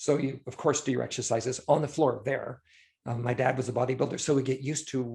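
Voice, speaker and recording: Against a quiet background, a man speaks at a fairly quick pace with fairly even intonation and a somewhat breathy voice. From Scotland. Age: 60s. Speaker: illustrator and concept artist. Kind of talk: casual chat.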